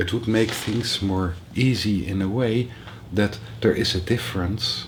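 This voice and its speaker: A man with a fairly low pitch keeps his intonation fairly even against noticeable background noise. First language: not English. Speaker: spiritual teacher. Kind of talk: workshop talk. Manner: halting.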